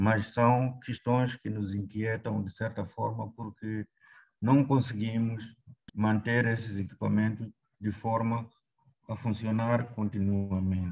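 In a Mozambican accent, a man speaks at a moderate pace and fairly low pitch with monotone, flat intonation against a quiet background. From Mozambique. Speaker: government health official; presenter. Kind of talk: presentation. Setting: video call. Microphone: video call.

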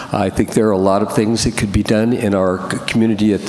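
Noticeable background noise runs under a man speaking at a fairly low pitch with monotone, flat intonation. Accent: American. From Northern California. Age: 70s. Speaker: planning commission applicant. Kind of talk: public meeting statement. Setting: city council meeting. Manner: halting, many fillers.

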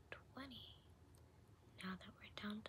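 A woman is speaking. She is whispering. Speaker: ASMR creator. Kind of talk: ASMR sleep affirmations. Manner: soft-spoken. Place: home room. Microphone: phone near.

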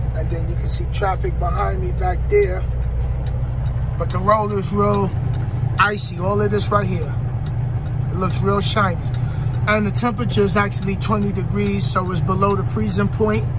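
A man speaks with long, frequent pauses. Loud background noise fills the recording. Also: moderate pace. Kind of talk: casual vlog chat. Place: car. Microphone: phone near.

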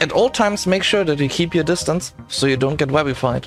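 Music plays in the background as a man talks fairly quickly, his intonation lively. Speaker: gaming video creator. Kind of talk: game tutorial narration.

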